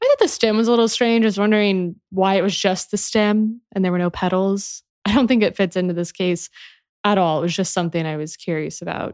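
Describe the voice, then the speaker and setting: Delivered in an unremarkable speaking voice at a fairly quick pace with fairly even intonation, the speech has a dry, close sound with no echo on a very clean recording with a silent background. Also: woman, medium pitch for a woman. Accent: American. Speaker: podcast host. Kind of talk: true-crime narration. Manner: measured, even storytelling pace.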